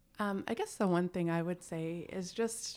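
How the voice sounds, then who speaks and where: With a plain, everyday voice, a woman speaks at medium pitch with ordinary pitch variation. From Canada. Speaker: executive coach. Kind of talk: casual chat.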